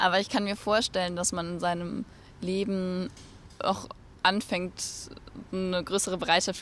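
Monotone, flat intonation runs through the speech. The pace holds at a moderate level. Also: woman. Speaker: climate activist. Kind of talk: interview.

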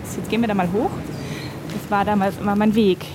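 Here is a woman with a fairly high pitch. She speaks at a very fast pace. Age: 40s. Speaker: journalist and author. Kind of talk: personal interview about depression. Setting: outdoors at a subway station and at home.

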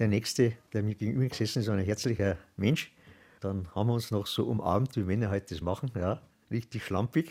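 Recorded very cleanly against a silent background, the voice has a dark, mellow tone and ordinary pitch variation. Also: man, fairly low pitch for a man. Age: 70s. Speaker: retired volunteer. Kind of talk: interview.

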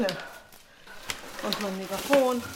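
A woman is speaking with audible room echo. Noticeable background noise can be heard. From Poland, Szczecin. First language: Polish (speaking German). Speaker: protest organizer. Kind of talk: interview. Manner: casual.

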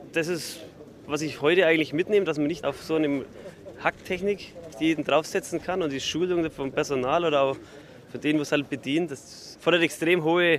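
With ordinary pitch variation and a moderate pace, this man talks at a fairly high pitch. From Franconia, Bavaria. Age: young. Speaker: farmer. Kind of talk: interview.

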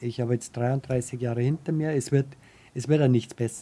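A man speaks at a moderate pace in a dark, mellow tone. His voice sits at medium pitch with ordinary pitch variation. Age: 50s. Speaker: wheelchair user with paraplegia. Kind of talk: interview testimony.

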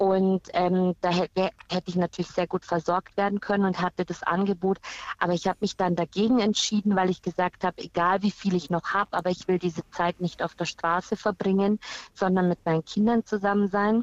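A woman speaks at a medium pitch and a fairly quick pace, in monotone, flat intonation. Her loudness stays very even, and the sound is dry and close, with no echo. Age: 40s. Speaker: caller, cancer patient and teacher. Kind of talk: phone-in testimony.

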